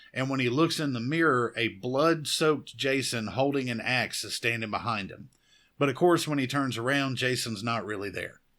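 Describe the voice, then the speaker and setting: A man with a Southern US accent, medium-pitched, with a bright, sharp tone and a moderate pace. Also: ordinary pitch variation, very clean recording, silent background. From US South. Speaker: horror podcast host. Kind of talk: film review podcast monologue. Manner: casual.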